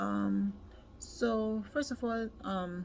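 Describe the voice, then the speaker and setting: There is noticeable background noise behind this woman, whose voice sits at a medium pitch. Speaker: worker sharing experience. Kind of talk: personal testimony. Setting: at workplace. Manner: hesitant, many fillers.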